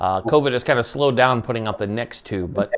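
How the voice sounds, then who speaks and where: The male voice sits at a medium pitch and moves at a fairly quick pace. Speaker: radio show host. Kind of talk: interview. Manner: halting.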